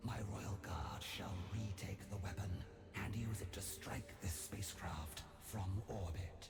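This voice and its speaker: A man's whispered, put-on character voice at a fairly slow pace, over loud music in the background. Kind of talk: video game voice acting. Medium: video game. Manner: formal, assured.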